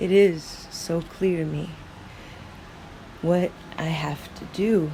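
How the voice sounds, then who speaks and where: Noticeable background noise lies under speech delivered at a very slow pace. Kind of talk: free-flowing thought monologue.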